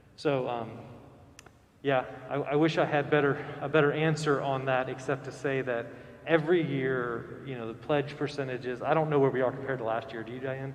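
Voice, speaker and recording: Audible room echo and noticeable background noise surround a man with an American accent who speaks at a medium pitch with monotone, flat intonation. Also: fairly quick pace. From central Florida. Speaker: priest. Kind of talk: Q&A with congregation. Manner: casual, hesitant with fillers.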